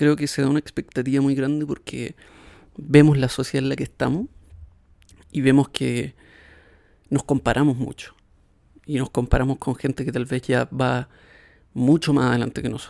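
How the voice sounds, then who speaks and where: A soft-spoken man with a dark, mellow, relaxed tone talks at a moderate pace in a flat monotone, leaving long, frequent pauses. The sound is dry and close, with no echo. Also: medium pitch for a man. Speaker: podcast host. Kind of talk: casual reflective monologue. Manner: soft-spoken, quiet; relaxed, hesitant fillers.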